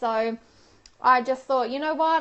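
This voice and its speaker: An animated woman in an Australian accent speaks fairly quickly with a high pitch and ordinary pitch variation. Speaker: professional organiser and lifestyle vlogger. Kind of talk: live stream talk to viewers. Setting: live Periscope broadcast. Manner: chatty, animated.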